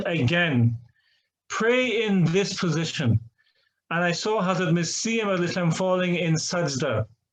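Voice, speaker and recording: Speaking at a fairly slow pace, a man with an Irish accent has a high pitch. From Ireland. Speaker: imam. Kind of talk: testimony. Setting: online seminar.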